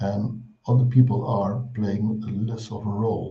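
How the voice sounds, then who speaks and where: The voice has a dark, mellow tone, somewhat breathy and flat in intonation, with audible room echo. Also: man. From Netherlands. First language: Dutch. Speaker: clinical psychology professor. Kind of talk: lecture.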